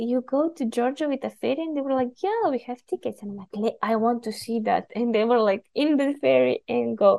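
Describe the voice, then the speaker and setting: In a Bulgarian accent, the speaker keeps a moderate pace with hardly any pauses and ordinary pitch variation. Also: woman, high pitch for a woman. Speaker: podcast guest from Bulgaria. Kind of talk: casual conversation.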